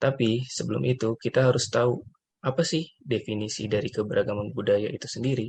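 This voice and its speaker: A man talks at a very fast pace with vocal fry. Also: medium pitch for a man, ordinary pitch variation. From West Sumatra (Minangkabau). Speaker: civil servant trainee. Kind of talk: scripted podcast discussion.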